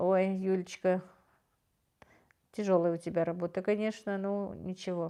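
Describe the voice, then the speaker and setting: Pausing long and often, a woman speaks at a moderate pace in a dark, mellow tone with monotone, flat intonation. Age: 50s. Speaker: livestream host. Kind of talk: livestream chat reading viewer comments. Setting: live stream. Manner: warm, gentle.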